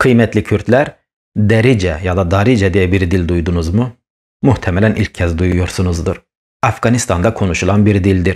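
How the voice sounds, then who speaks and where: A man with a Kurdish accent speaks at a moderate pace in a very deep, low voice, with ordinary pitch variation and very even loudness, on a very clean recording with a silent background. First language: Kurdish (speaking Turkish). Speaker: YouTuber on Kurdish language and history. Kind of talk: educational monologue. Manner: animated.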